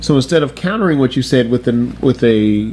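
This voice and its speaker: A man's pitch moves in an ordinary way while noticeable background noise is heard. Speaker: YouTube commentator. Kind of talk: casual commentary talk to camera.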